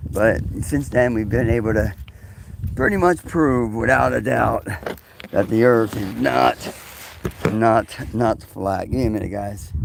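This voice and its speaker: Amid noticeable background noise, a man with a fairly low pitch speaks at a fairly slow pace, his pitch swinging very widely, with long, frequent pauses. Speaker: live streamer. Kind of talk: casual live stream monologue. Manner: halting, many fillers.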